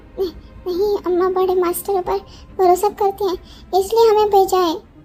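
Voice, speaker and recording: Over music in the background, a woman uses a soft-spoken, put-on character voice at an extremely high pitch with monotone, flat intonation. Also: moderate pace. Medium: read story. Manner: stammering, soft-spoken.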